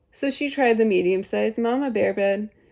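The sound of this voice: An unforced reading voice carries the whole clip.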